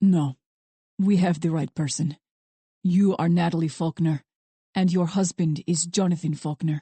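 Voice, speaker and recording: Putting on a character voice in a Russian accent, a woman speaks at a fairly low pitch and moderate pace, with fairly even intonation and long, frequent pauses. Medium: read story. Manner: calm, menacing, mocking.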